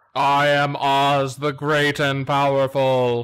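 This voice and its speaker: Putting on a character voice, a man booms at a very slow pace, his fairly high pitch held in a monotone, flat line. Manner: grand, commanding.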